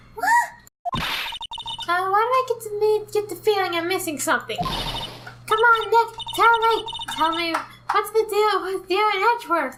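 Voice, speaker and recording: A female-sounding voice is put on as a character. Her pitch sits extremely high. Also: moderate pace. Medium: game stream. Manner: bubbly, excitable.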